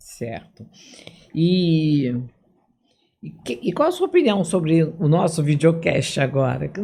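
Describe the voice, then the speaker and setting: The speech moves at a very slow pace, broken by long, frequent pauses and marked by big swings in loudness. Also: woman, fairly low pitch for a woman, ordinary pitch variation. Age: 70s. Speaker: physician and video podcast host. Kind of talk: interview.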